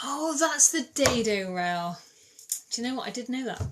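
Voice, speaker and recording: A high-pitched woman's voice with lively intonation and a slight Bristol accent. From England, Bristol. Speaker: DIY content creator. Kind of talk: livestream chat answering comments. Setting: TikTok live stream. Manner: casual, chatty.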